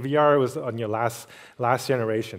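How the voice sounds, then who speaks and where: The man's voice sits at a medium pitch. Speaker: tech executive, keynote speaker. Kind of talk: conference keynote. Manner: fast; many fillers and repetitions.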